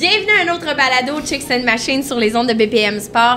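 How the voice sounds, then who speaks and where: A woman's fairly quick speech over noticeable background noise. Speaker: podcast host. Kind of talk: casual chat. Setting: outdoor bar on location.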